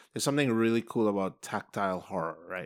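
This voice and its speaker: With a Trinidadian accent, a man talks at a fairly low pitch and a fairly quick pace. His pitch variation is ordinary, and the recording is very clean, with a silent background. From Trinidad and Tobago. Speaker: film producer and film teacher. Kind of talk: casual film discussion.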